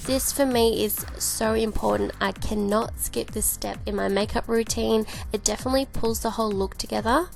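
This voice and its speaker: Music plays in the background as a woman with an Australian accent speaks. Her pace is moderate, with hardly any pauses. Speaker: beauty vlogger. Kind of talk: makeup tutorial voice-over. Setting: voice-over with home mic. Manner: casual, chatty.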